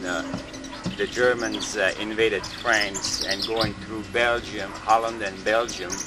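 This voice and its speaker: A man at a fairly slow pace and medium pitch, with noticeable background noise. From Switzerland, Jura Mountains. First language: Swiss German. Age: 60s. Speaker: interviewee recalling World War II. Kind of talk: oral history interview. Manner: halting.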